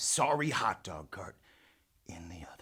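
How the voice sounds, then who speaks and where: The man's voice has a bright, sharp tone with vocal fry. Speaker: storyteller. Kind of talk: tall tale narration.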